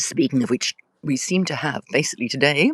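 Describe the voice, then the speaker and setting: A woman with a very deep, low pitch at a fairly quick pace, in a dry, close sound with no echo. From Australia (Tasmania). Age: 60s. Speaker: author. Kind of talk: casual live stream chat. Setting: live video stream. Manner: chatty, digressive with fillers.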